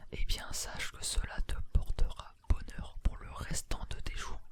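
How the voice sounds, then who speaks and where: A man is speaking. He whispers. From France. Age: 18. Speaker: ASMR and gaming YouTuber. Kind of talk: casual talk to camera. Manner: casual, chatty, laid-back.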